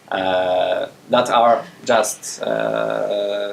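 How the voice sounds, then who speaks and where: This is a man speaking. He has a Polish accent. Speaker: game programmer giving a conference talk. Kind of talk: technical talk with Q&A. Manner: hesitant, many fillers. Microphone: speaking without a mic.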